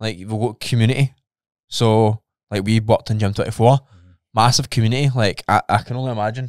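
Against a quiet background, a man with a medium pitch speaks at a fairly quick pace with fairly even intonation, the sound dry with no echo. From Scotland. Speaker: podcast co-host; podcast co-host, fitness coach. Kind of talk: casual chat. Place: studio. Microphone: studio mic.

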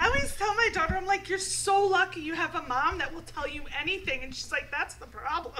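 Projecting her raised voice over light background noise, a woman speaks at a fairly quick pace with hardly any pauses, her extremely high pitch carrying a bright, sharp tone, lively intonation and big swings in loudness. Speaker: talk show co-host. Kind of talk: casual chat. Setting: studio. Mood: playful, frank, laughing. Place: studio. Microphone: studio mic.

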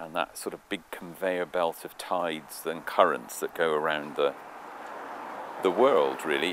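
A man's very deep, low voice over light background noise. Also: dry sound with no echo. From Cornwall. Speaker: local historian and storyteller. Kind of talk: outdoor guided walk commentary. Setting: outdoors. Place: open country.

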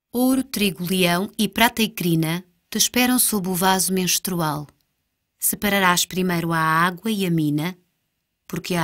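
Here a woman uses an ordinary speaking voice at medium pitch, with ordinary pitch variation and a fairly slow pace. The recording is very clean, with a silent background. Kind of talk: staged dialogue reading of surrealist verse, alternating with another voice. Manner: dreamlike, deliberate, theatrical.

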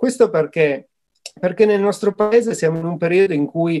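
Moderate-paced male speech in a quiet setting. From northern Italy, Turin. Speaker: association director, mountain studies. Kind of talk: interview answers. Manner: hesitant, with fillers and repetitions. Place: home room. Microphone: webcam.

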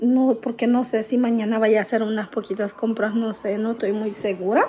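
A woman is speaking. Her pace is moderate. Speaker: vlogger. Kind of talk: casual vlog chat. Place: home room. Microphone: phone near.

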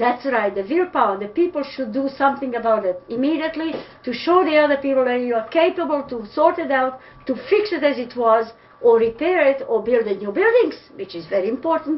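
In a Serbian accent, a woman speaks at a high pitch with lively intonation and a fairly quick pace. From Serbia (Pančevo). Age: old. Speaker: interviewee. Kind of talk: interview answer. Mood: disappointed, indignant. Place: home room. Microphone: webcam.

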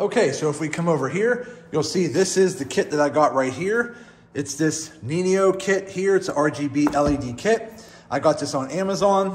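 A man speaks at a moderate pace with lively intonation over light background noise. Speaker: motorcycle DIY vlogger. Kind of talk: casual vlog chat. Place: garage. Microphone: phone near.

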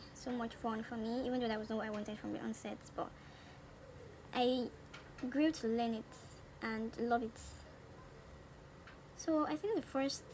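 There is noticeable background noise. The woman's pitch is fairly high. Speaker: beauty vlogger. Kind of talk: casual talk to camera, makeup tutorial. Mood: cheerful, relaxed. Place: home room. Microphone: phone near.

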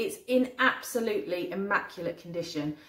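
A woman's voice with audible room echo. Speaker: haul vlogger. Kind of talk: casual vlog chat. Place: kitchen.

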